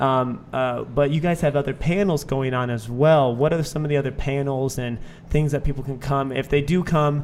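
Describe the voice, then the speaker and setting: Here is a plain, everyday voice. It keeps a moderate pace and fairly even intonation. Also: man, fairly high pitch for a man, hardly any pauses. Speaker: podcast host. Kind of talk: casual interview chat.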